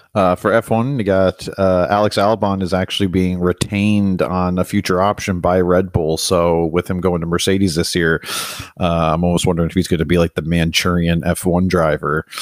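A man's very deep, low voice keeps a very even loudness, the sound dry and close with no echo. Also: fairly even intonation, moderate pace. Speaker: podcast co-host. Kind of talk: casual banter about racing.

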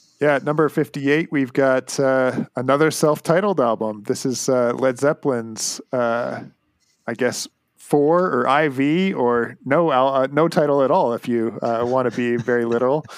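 An unremarkable speaking voice from a man with a Canadian accent, medium in pitch, with ordinary pitch variation and a fairly slow pace. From Canada. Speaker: music podcast host. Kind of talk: casual chat.

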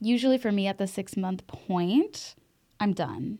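In a very clean recording with a silent background, a woman speaks at a fairly slow pace in a dark, mellow tone. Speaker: podcast host. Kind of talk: casual chat. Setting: studio. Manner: animated.

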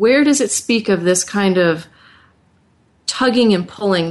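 Speaking at a fairly slow pace with ordinary pitch variation, a woman uses an ordinary speaking voice. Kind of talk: radio host patter, warm welcoming broadcast. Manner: warm, upbeat, fluent, encouraging.

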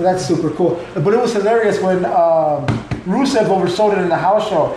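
Over noticeable background noise, a man speaks with a high pitch and ordinary pitch variation. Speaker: wrestling fan guest, called uncle. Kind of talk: casual chat about wrestling. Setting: recorded live in a home in Chicago.

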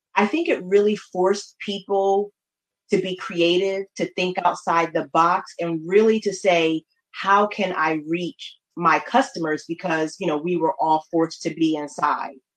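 With an American accent and an ordinary speaking voice, a woman speaks at a medium pitch and a fairly slow pace with ordinary pitch variation. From New Haven, Connecticut. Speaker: marketing consultant. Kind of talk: interview.

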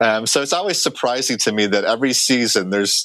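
A man with an American accent and an unremarkable speaking voice, medium pitch, ordinary pitch variation and a fairly quick pace. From Chicago. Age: 40s. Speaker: baseball stadium organist. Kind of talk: casual interview.

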